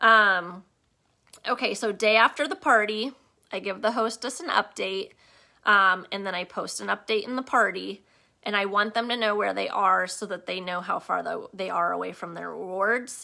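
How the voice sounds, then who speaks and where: Recorded very cleanly against a silent background, a woman speaks with a bright, sharp tone and vocal fry. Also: medium pitch for a woman, ordinary pitch variation, moderate pace. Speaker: direct sales team leader. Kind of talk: live training session.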